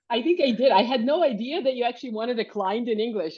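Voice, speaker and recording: The speaker goes at a very fast pace with ordinary pitch variation. Noticeable background noise is heard. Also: woman. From Canada. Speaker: coaching client. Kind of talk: interview.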